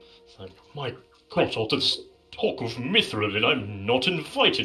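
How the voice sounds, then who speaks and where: Faint music sits in the background. Over it, the man puts on a character voice. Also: medium pitch for a man, moderate pace. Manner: wistful, left out.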